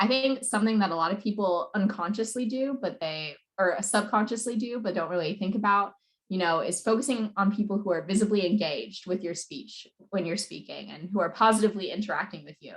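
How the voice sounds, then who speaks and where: Somewhat breathy, a woman talks at a fairly quick pace, her medium pitch showing ordinary variation. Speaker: debate coach. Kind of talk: presentation. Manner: fast.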